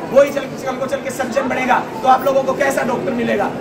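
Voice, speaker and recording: Loud background noise behind a man talking at a moderate pace. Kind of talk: protest speech. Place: hall. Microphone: camera far.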